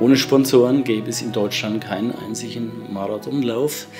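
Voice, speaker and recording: Faint music sits in the background. The speaker keeps a moderate pace in a monotone, flat intonation. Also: man. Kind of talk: interview answer. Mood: calm, proud, grateful. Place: home room.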